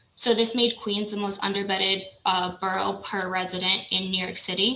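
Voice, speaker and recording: Woman, medium pitch, fairly even intonation. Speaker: borough staff presenter. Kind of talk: budget presentation at public meeting. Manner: fast.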